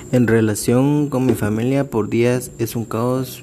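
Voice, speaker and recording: Noticeable background noise sits behind this man's voice. He speaks with a Guatemalan accent and fairly even intonation. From Guatemala, San Marcos and Quetzaltenango area. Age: 20s. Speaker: law student. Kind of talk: personal reflection monologue.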